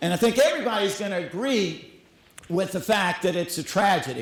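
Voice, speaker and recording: Audible room echo and noticeable background noise around a voice with a Southern US accent. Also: man. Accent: Southern US (Georgia). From US South. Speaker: school executive director. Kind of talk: conference talk. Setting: stage with audience.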